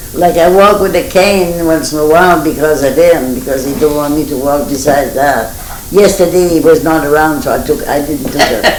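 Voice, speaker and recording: Noticeable background noise sits under a speaker with a Maine Acadian accent talking at a moderate pace. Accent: Franco-American (Maine Acadian) English. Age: 80s+. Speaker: centenarian interviewee. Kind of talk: oral history interview. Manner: halting.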